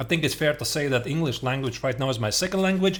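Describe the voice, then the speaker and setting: Fairly quick speech from a man with a Latvian accent. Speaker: chess streamer. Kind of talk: casual reaction stream commentary. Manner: hesitant, many fillers.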